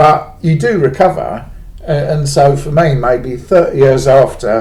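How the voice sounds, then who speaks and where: Vocal fry runs through a man's medium-pitched voice. He speaks at a fairly slow pace. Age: 50s. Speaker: former cult member. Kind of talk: personal monologue vlog. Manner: casual, hesitant with fillers.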